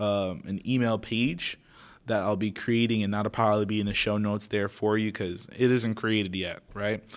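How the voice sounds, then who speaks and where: A man with an American accent speaks in a plain, everyday voice at a fairly low pitch with fairly even intonation, in a very clean recording with a silent background. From Florida, Naples (Haitian family). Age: young. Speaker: podcast host. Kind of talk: casual solo podcast intro.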